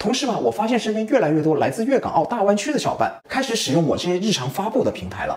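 A high-pitched man talks at a very fast pace with hardly any pauses and very wide pitch swings. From Guangzhou, China. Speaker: video creator. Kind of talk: casual talk to camera. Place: kitchen.

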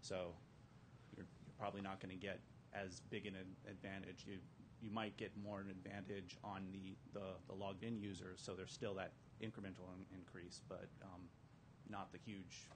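A man speaks at a fairly low pitch, somewhat breathy, with monotone, flat intonation. Long, frequent pauses break it up over noticeable background noise. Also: moderate pace. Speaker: audience member asking question; audience member. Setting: conference room with audience. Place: hall.

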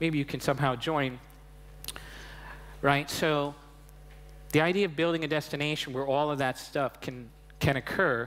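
A man speaks with an American accent. His pitch is fairly high and his pace moderate. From Long Island, New York. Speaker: invited speaker on immersive storytelling. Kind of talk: interview answer. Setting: stage at a media convention. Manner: conversational, many filler phrases. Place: stage. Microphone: headset.

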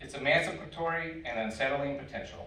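A man at a moderate pace, with audible room echo. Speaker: community organizer and panel moderator. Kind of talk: panel discussion. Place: hall. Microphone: camera far.

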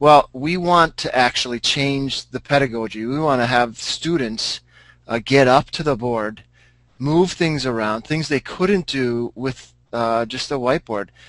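A man talks fairly slowly at a medium pitch, with ordinary pitch variation and an ordinary speaking voice. The sound is dry and close, with no echo. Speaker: high school math teacher. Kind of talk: panel discussion. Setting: video call.

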